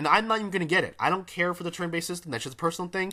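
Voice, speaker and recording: On a very clean recording with a silent background, a man speaks in a high, animated voice with a bright, sharp tone. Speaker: gaming commentator. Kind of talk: casual reaction commentary.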